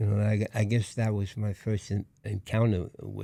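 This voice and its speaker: This man has a fairly low pitch and a Brooklyn accent. His voice is somewhat breathy, with a dark, mellow tone. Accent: Brooklyn New York. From New York, Brooklyn. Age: 80s+. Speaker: war veteran. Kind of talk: interview. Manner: halting.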